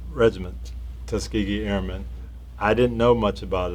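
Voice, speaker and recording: A man speaks with vocal fry. His pitch swings very widely. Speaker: interviewer, former football coach. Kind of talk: interview questions.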